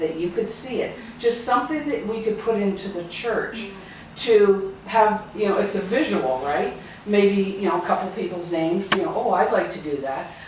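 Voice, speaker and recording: Moderate pace and lively intonation, set against noticeable background noise and audible room echo. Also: woman, medium pitch for a woman. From Ontario, Canada (Stratford). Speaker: charity volunteer. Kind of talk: group discussion.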